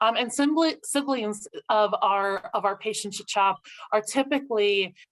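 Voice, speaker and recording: Speaking at a moderate pace, a woman uses lively intonation in an unremarkable speaking voice at medium pitch. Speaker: social worker. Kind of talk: webinar presentation.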